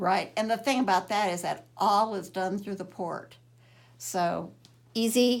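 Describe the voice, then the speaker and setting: With vocal fry and ordinary pitch variation, a woman at medium pitch talks at a fairly slow pace on a very clean recording with a silent background. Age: 70s. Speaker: cancer patient. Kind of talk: testimony.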